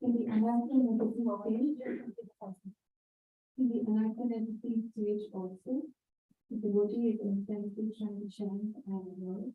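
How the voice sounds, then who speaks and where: Somewhat breathy speech at a moderate pace, fairly even in intonation, broken by long, frequent pauses. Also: woman, fairly high pitch for a woman. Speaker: audience member asking a question. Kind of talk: question from audience. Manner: halting.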